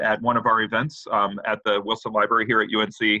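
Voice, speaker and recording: Speaking at a moderate pace and medium pitch, the man has a plain, everyday voice. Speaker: university researcher, project lead. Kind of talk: webinar presentation. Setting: video call webinar.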